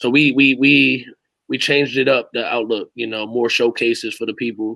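Over a quiet background, a man speaks at a moderate pace in a bright, sharp tone. His intonation is monotone and flat, and the sound is dry with no echo. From Hamden, Connecticut. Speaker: youth basketball coach. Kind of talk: casual interview. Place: home room.

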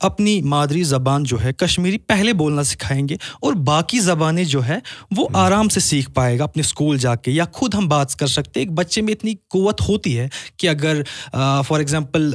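A man's fairly high, lively voice with a Kashmiri accent, fairly slow pace and very even loudness against a quiet background. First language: Kashmiri (speaking Hindi). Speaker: poet and businessman; poet. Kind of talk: casual chat. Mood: thoughtful, earnest. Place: studio. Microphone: studio mic.

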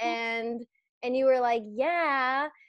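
A woman speaks at a fairly slow pace in a high voice. The sound is dry with no echo, and the background is quiet. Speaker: podcast host. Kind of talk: casual chat. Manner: animated. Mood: laughing, animated storytelling. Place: home room. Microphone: earbuds.

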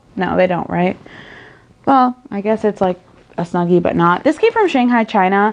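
A woman talks with lively intonation at a moderate pace. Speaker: haul vlogger. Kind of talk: casual vlog chat. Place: home room. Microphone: phone near.

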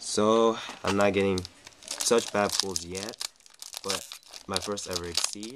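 Over noticeable background noise, a man speaks at a very slow pace with long, frequent pauses. His pitch is fairly low and his intonation fairly even. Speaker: card game youtuber. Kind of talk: unboxing commentary. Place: home room. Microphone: webcam.

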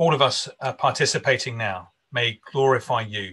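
A man's bright, sharp voice over a quiet background. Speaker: minister hosting an online conference. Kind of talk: conference host introduction and prayer. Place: home room. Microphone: video call.

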